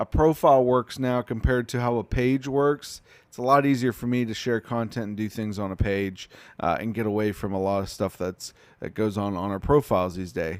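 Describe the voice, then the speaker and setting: In an ordinary speaking voice, a man of medium pitch talks at a moderate pace with ordinary pitch variation and big swings in loudness, the sound dry and close with no echo on a very clean recording with a silent background. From Pittsburgh then Texas (Dallas area). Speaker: coffee catering business owner, live streamer. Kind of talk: casual live stream chat. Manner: conversational, many fillers.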